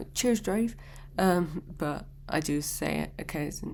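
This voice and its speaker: The speaker has a British accent and talks at a fairly slow pace. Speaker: YouTuber reacting to videos. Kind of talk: reaction video commentary. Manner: casual, chatty.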